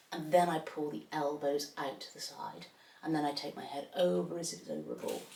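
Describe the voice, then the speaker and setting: The room echo is audible here. A woman speaks fairly quickly within it. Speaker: pilates instructor. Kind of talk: exercise class instruction.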